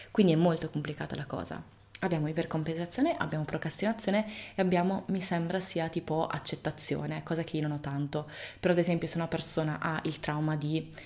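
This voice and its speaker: A woman talks at a very fast pace. Her intonation stays fairly even. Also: fairly low pitch for a woman. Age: 30s. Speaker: video blogger. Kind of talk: casual monologue to camera. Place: home room.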